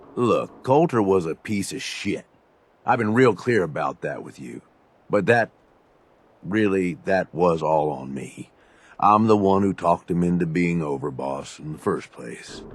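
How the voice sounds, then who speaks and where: In a gruff, put-on character voice, the speaker moves at a moderate pace, with loudness swinging widely. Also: man, very deep, low pitch for a man. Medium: video game. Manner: gruff, casual, profane.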